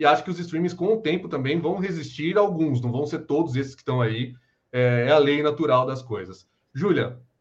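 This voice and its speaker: A somewhat breathy man's voice at a fairly high pitch, moderate pace, ordinary pitch variation and big swings in loudness. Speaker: podcast host. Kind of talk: live video podcast interview.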